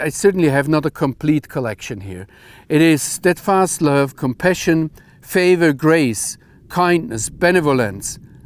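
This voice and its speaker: His intonation lively and his pitch fairly high, a man speaks at a fairly slow pace. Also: very clean recording, silent background. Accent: German. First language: German. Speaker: Bible teacher. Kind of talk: bible teaching talk.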